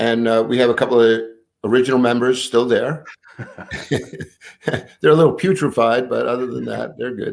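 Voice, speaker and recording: Speaking with an American accent, a man uses a medium pitch, ordinary pitch variation and a moderate pace. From New York City (Brooklyn). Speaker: pastor. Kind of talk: interview.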